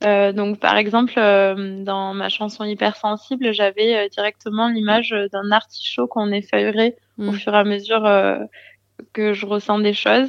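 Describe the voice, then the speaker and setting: A woman speaks at a fairly slow pace in a medium pitch, her intonation flat and monotone. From southern France, Gard. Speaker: singer-songwriter. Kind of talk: interview.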